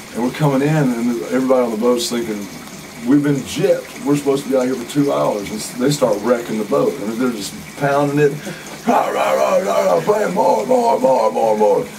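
Over noticeable background noise, a man with an Alabama accent talks at a fairly quick pace. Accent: Southern US (Alabama). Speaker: musician; interviewee. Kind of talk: casual interview. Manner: animated. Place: home room.

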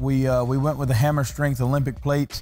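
Faint music plays in the background. The speech moves at a very fast pace. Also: man. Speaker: conditioning coach. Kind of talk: interview answer. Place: gym.

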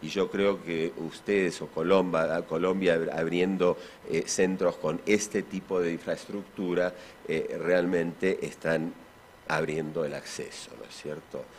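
A man with an Argentine accent speaks fairly slowly at a very deep, low pitch. His intonation is flat and monotone, with light background noise. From Argentina. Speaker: physician and symposium speaker; speaker. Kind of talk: conference talk. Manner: halting, many fillers. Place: hall. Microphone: podium.

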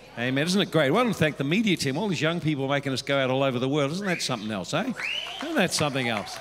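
A man speaks with crowd noise in the background. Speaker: church pastor. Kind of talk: sermon. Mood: warm, cheerful. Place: church. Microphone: handheld.

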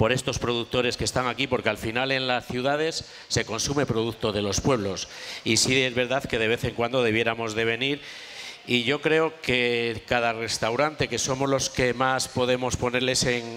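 At a moderate pace, a man speaks with monotone, flat intonation and very even loudness. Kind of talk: cooking demonstration talk. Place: tent. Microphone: headset.

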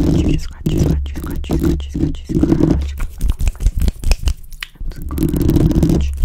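The voice is whispering at a very slow pace. Long pauses come often. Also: woman. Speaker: ASMR creator. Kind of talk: ASMR personal attention. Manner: repetitive trigger words. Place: home room. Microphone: studio mic.

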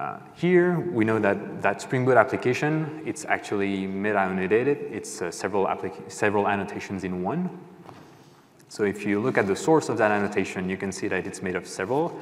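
A man speaks at a fairly quick pace in a fairly low voice with lively intonation. It is an ordinary speaking voice. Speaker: conference presenter. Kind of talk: technical talk. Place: stage. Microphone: lapel.

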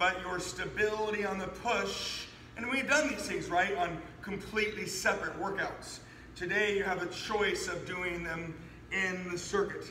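A man's raised, projected voice moves at a moderate pace with fairly even intonation, heard with audible room echo and light background noise. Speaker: fitness trainer. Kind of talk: workout tutorial. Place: gym. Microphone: camera far.

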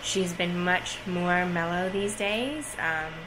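A woman speaks over noticeable background noise. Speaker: parent vlogger. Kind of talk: casual vlog chat. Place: home room. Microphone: phone near.

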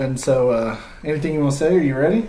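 Over faint background noise, a man speaks fairly quickly in a fairly high voice with a slightly mellow tone.

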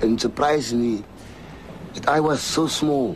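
Light noise sits in the background. Over it, a man speaks. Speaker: prison gang leader. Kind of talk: testimony; emotional personal address. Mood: remorseful, pleading.

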